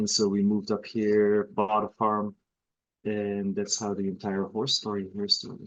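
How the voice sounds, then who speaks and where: With a Belgian accent, a man talks at a moderate pace in a fairly low pitch and a monotone, flat intonation. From Belgium, northern part near Antwerp. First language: Dutch (Flemish). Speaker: horse breeder. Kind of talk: casual interview. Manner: halting.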